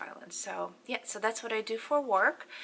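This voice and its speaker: A woman speaks with a Polish accent in a bright, sharp tone. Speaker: beauty and fashion vlogger. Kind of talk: casual Q&A vlog. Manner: halting, many fillers.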